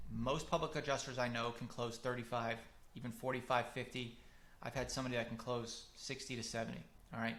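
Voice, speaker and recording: Audible room echo surrounds a man who talks at a fairly quick pace with a medium pitch and vocal fry. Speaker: marketing consultant for public adjusters. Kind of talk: webinar lecture. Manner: fast; animated.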